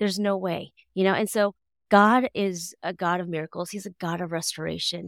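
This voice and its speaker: A woman's plain, everyday voice with an American accent, fairly even intonation and a moderate pace, dry and close with no echo on a very clean recording with a silent background. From US, Seattle, Washington. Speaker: pastor. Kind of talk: casual interview conversation.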